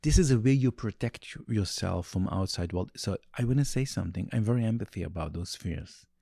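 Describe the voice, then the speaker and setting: In a very clean recording with a silent background, a man speaks with a dark, mellow tone in a dry, close sound with no echo. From Meah Shearim, Jerusalem. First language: Yiddish. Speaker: Haredi rabbi and school founder. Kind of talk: interview conversation about education and parenting. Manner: halting, searching for words.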